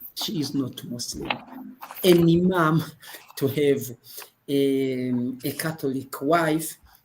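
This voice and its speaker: Speaking very slowly with long, frequent pauses, a man talks in a fairly high pitch. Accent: French. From Burundi. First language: French. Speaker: imam and women's rights advocate. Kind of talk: group video discussion. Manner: halting.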